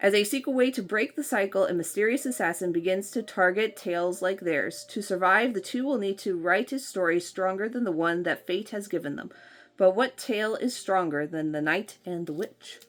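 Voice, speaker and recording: The recording is very clean with a silent background, and a woman with an ordinary speaking voice talks at medium pitch and a moderate pace with lively intonation. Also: hardly any pauses. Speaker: book vlogger. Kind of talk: casual talk to camera, unboxing video.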